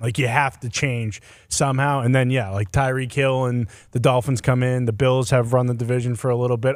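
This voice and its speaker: A man talks in a normal speaking voice at a medium pitch and a moderate pace, with fairly even intonation. The recording is very clean, with a silent background. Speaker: sports show panelist. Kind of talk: casual sports talk.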